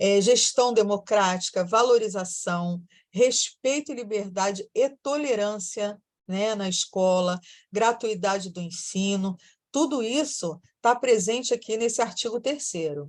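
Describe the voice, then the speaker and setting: A woman's normal speaking voice, fairly high in pitch, with ordinary pitch variation. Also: fairly slow pace. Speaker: teacher. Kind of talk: lecture.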